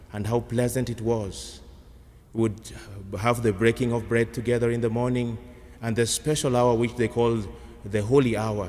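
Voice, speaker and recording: A man's medium-pitched, monotone voice with flat intonation, a moderate pace and long, frequent pauses. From Kenya. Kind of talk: sermon.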